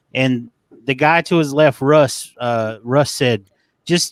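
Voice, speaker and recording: On a very clean recording with a silent background, a man with a Southern US accent speaks at a fairly high pitch. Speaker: fantasy football analyst. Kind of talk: casual chat.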